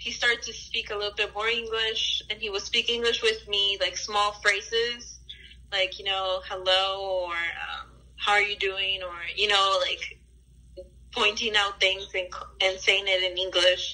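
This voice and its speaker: A woman with a Spanish accent speaks at a fairly slow pace in a medium-pitched voice. Her tone is bright and sharp, her intonation monotone and flat. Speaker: interviewee. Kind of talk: interview, personal life story. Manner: casual, hesitant with fillers.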